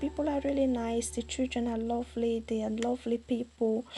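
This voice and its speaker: A woman speaks at a moderate pace in a fairly high pitch, her intonation monotone and flat. Her tone is dark and mellow, somewhat breathy. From Ivory Coast. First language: French. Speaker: charity founder. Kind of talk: personal appeal to camera. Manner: halting, many fillers and repeats.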